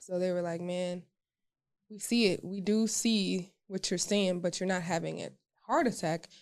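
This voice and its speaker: A woman speaks at a moderate pace in a medium pitch. It is an ordinary speaking voice. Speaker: podcast co-host. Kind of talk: casual podcast chat.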